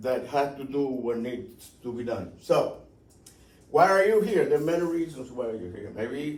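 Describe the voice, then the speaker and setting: There is audible room echo as a man talks with a slight Cuban accent and ordinary pitch variation. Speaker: aviation safety instructor. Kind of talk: seminar presentation. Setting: talk at an airport. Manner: conversational, with repetitions.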